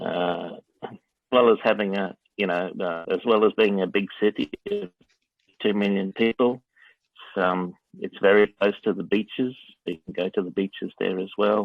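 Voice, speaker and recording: At a moderate pace, a man with an Australian accent speaks in a fairly low pitch with fairly even intonation and long, frequent pauses. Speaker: interviewee answering students' questions. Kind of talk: interview. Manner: hesitant, many fillers.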